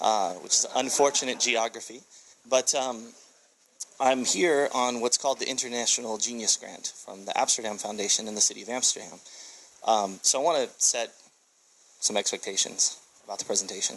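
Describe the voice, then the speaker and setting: Talking at a fairly quick pace but with long, frequent pauses, a man with an American accent uses a medium pitch and ordinary pitch variation. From USA. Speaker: tech entrepreneur and speaker. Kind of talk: conference presentation. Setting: stage with audience. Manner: fast.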